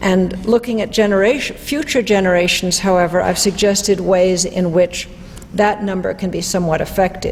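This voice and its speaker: Audible room echo and noticeable background noise surround the recording. A woman speaks at a moderate pace in a medium pitch. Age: 60s. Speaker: economist and lecturer. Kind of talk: lecture.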